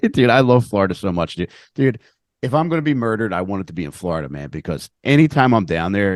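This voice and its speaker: Speaking fairly quickly with very wide pitch swings, a man with a Philadelphia accent is heard against a quiet background in a dry, close sound with no echo. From Philadelphia area, Upper Darby (Delco). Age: 40s. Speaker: comedian and podcaster. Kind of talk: casual podcast interview.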